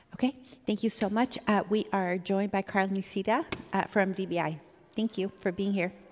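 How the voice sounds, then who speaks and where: At a moderate pace, a woman with a plain, everyday voice speaks in a medium pitch with fairly even intonation. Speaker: city legislator chairing committee. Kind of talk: chairing a public meeting. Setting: council chamber.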